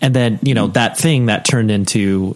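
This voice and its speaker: Noticeable background noise sits behind a man talking at a fairly low pitch with ordinary pitch variation. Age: 30s. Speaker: podcast host. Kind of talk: interview conversation.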